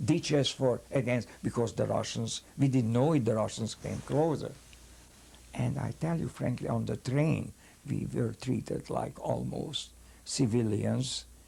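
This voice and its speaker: A man with a Hungarian accent, at a fairly slow pace. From Hungary. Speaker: rabbi, Holocaust survivor. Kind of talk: interview answer.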